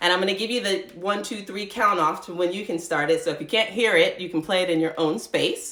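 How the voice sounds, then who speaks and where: A woman's plain, everyday voice at medium pitch, with ordinary pitch variation, a fairly quick pace and hardly any pauses. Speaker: yoga instructor. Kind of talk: live-streamed yoga class instruction. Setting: live online stream from home.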